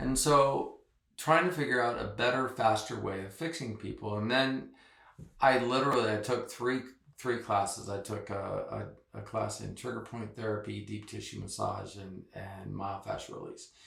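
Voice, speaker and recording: Audible room echo surrounds a man speaking at a moderate pace with big swings in loudness. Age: 60s. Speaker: massage therapist. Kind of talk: interview.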